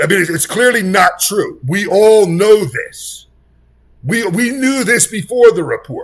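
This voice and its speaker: Shouting at a high pitch, a man moves at a fairly slow pace with big swings in loudness. His intonation is lively and his tone animated. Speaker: political commentator. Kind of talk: reaction commentary. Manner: loud, yelling.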